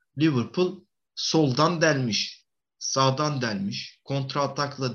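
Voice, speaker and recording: Medium in pitch, a man's voice moves at a very slow pace. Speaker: football podcast co-host. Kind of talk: casual chat.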